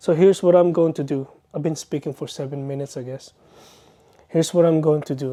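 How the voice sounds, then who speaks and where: A man with a non-native accent at a very fast pace, long, frequent pauses and big swings in loudness, his fairly high pitch set in a dark, mellow tone with fairly even intonation. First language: not English. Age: 30s. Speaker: vlogger. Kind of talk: personal vlog monologue. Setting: bedroom, self-recorded. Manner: earnest, hesitant.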